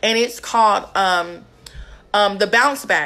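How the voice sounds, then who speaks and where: The speaker is a woman. Her tone is bright and sharp. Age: young. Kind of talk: livestream devotional teaching. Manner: casual, conversational. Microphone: phone near.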